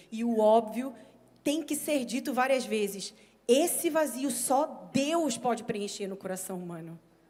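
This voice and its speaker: In a room with audible echo, a woman with a high pitch talks at a fairly slow pace with lively intonation. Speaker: preacher. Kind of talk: sermon.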